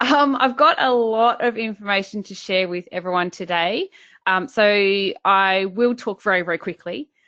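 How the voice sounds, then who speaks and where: A woman talks with an Australian accent in a bright, sharp tone. The background is quiet. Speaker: business coach. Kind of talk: webinar presentation. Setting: online webinar.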